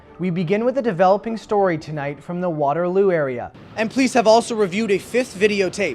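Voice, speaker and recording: Music plays in the background as a man talks at a very fast pace with hardly any pauses. His pitch is high, with ordinary variation. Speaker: news reporter. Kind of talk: TV news report.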